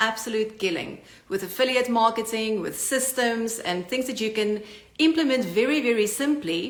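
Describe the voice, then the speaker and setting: With a South African accent, a woman talks at a moderate pace in a fairly high pitch with ordinary pitch variation, and audible room echo surrounds her. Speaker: online business coach. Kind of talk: channel introduction talk. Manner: direct.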